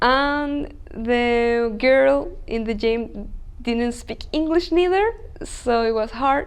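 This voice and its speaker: Lively in intonation and high in pitch, a woman speaks at a very slow pace with audible room echo around her. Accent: Chilean. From Chile. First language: Spanish. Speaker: language school student. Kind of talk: interview. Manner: halting.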